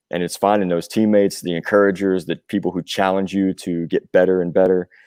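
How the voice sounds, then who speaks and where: Speaking with a Southern US accent, a man has a very deep, low pitch, a dark, mellow tone and fairly even intonation, with a dry, close sound and no echo. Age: 40s. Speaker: rock musician, singer and drummer. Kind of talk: podcast interview. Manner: casual, with frequent fillers.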